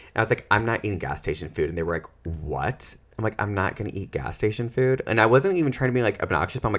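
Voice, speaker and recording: A man with an American accent talks at a very fast pace in an animated tone with lively intonation. His fairly low voice has vocal fry. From US Midwest. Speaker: social worker and therapist, podcast co-host. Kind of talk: casual chat.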